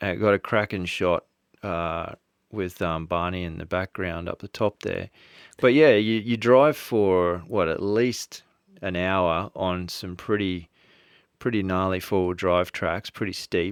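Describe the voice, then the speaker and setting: Against a quiet background, a man talks fairly slowly in a very deep, low voice with ordinary pitch variation and a dry, close sound with no echo. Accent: Australian. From Australia. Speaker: podcast host. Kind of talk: podcast interview.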